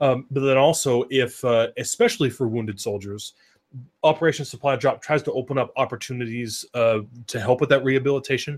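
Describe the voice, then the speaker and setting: A man talks in a normal speaking voice at a medium pitch. His pace is fairly quick, with fairly even intonation. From US Northwest, Oregon. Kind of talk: casual chat.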